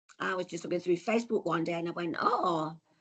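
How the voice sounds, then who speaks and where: A woman with an English accent and lively intonation, over a quiet background. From England. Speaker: traveller, tour customer. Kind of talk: casual interview.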